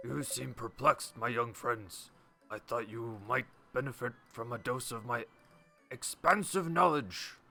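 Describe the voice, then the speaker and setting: Music plays behind a man doing a put-on character voice at medium pitch. He keeps a moderate pace, with big swings in loudness. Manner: pompous, expansive.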